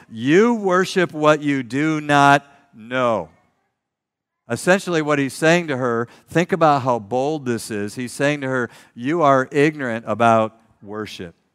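An unremarkable speaking voice with an American accent, lively intonation and a fairly slow pace, on a very clean recording with a silent background. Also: man, fairly high pitch for a man. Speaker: pastor. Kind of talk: sermon.

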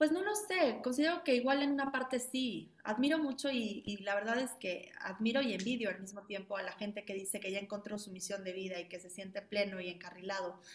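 A woman speaks at a fairly quick pace with hardly any pauses and a medium pitch. Her loudness swings widely, with noticeable background noise behind her. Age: 30s. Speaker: ballet school founder and director. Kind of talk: interview. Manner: halting.

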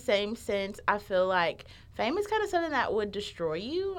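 Her pitch swinging very widely, a woman with a Southern US accent speaks at a moderate pace. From Alabama. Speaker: college student. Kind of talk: casual chat. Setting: studio.

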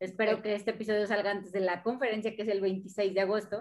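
A woman's medium-pitched voice at a very fast pace, monotone with flat intonation. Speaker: podcast host and racing driver. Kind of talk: casual interview chat.

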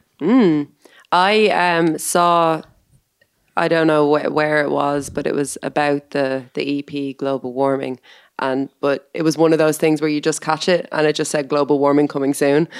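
Fairly even intonation at a moderate pace, in an Irish accent. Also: woman, very deep, low pitch for a woman. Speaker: co-host. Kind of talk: casual chat.

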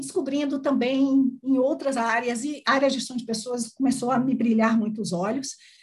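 A woman speaks in a high voice. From Brazil, Salvador, Bahia. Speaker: HR executive. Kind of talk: interview.

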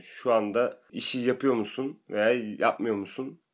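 An unremarkable speaking voice from a man, fairly slow and fairly even in intonation, in a very clean recording with a silent background. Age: 20s. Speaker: factory employee, university graduate. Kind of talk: casual chat.

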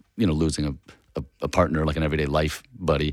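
A man with an American accent speaks at a very deep, low pitch with vocal fry. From San Francisco, California. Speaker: comedian. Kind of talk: casual chat.

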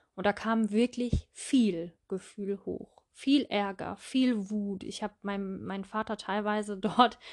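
A woman at a medium pitch and very slow pace, with fairly even intonation, in a very clean recording with a silent background. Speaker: podcast host, mindfulness coach. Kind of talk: personal monologue. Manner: hesitant fillers.

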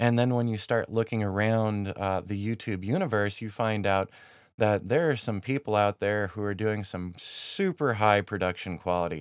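Ordinary pitch variation and a moderate pace come through on a very clean recording with a silent background. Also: man. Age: 40s. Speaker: podcast host and YouTuber. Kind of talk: solo podcast monologue. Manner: casual, with frequent fillers.

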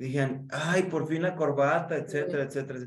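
A man speaks fairly quickly in a Mexican accent with ordinary pitch variation. The room has an audible echo. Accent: Mexican Spanish (Jalisco). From Mexico, Guadalajara. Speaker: podcast host and communication coach. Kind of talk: casual interview chat. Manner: animated.

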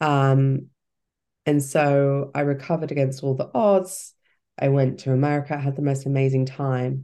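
In a British accent, a woman speaks at a moderate pace with a very deep, low pitch. Her tone is dark and mellow against a quiet background. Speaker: cancer survivor and life coach. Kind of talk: casual interview chat.

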